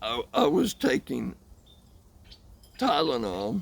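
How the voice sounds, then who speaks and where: A man with a fairly high pitch. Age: 60s. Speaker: vlogger talking about chronic pain. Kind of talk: casual monologue. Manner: halting, with many fillers and repeats.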